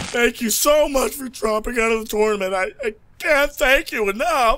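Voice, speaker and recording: A man speaks at an extremely high pitch in a raised, projected voice. His pace is moderate and his pitch varies in an ordinary way. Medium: fan dub. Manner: loud, aggressive, barking.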